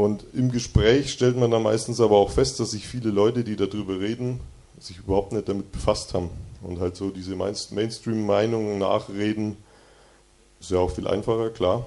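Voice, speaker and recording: This man's voice has a dark, mellow tone and a fairly low pitch with fairly even intonation. He keeps a moderate pace, though his loudness swings widely. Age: 20s. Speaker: mechanical engineer giving a devotional talk. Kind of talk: devotional talk to a youth group. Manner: casual, conversational.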